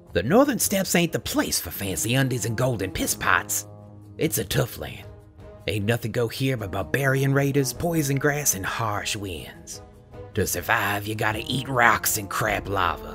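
A rumbling, low-pitched put-on character voice in a Southern US accent, delivered at a moderate pace. Clear music plays in the background. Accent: put-on Southern US hillbilly drawl. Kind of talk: comic folk tall-tale rant. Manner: cantankerous, boastful, crude, grumbling.

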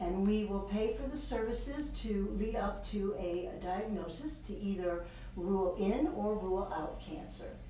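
Over light background noise and audible room echo, a woman talks at a fairly slow pace. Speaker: public health program director. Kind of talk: interview. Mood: warm, informative. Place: office.

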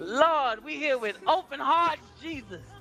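Against clear music in the background, a woman uses a put-on character voice in an extremely high pitch, sing-song and at a fairly slow pace. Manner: fervent, sing-song, calling Lord and Jesus at every line.

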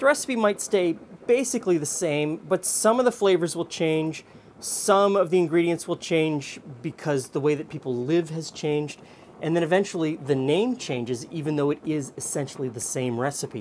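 A man with a fairly high pitch and a slightly mellow tone speaks at a moderate pace with few pauses and ordinary pitch variation.

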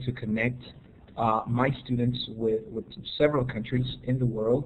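A man speaks at a moderate pace in a somewhat breathy voice, his intonation fairly even over light background noise. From Honduras. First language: Spanish. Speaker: educator. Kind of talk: webinar presentation; webinar presentation talk. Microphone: video call.

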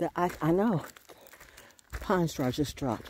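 A woman's low-pitched voice, slow and lively in intonation, with a slightly mellow tone and a slightly husky edge

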